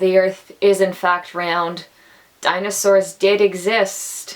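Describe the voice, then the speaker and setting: A woman speaks at a medium pitch. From Atlantic Canada. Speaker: actor, theatre student. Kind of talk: casual talk to camera.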